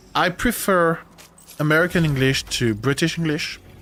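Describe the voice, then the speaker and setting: With a French accent, a man speaks at a high pitch in a bright, sharp tone. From France. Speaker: gaming streamer. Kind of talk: live stream chat while gaming. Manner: halting.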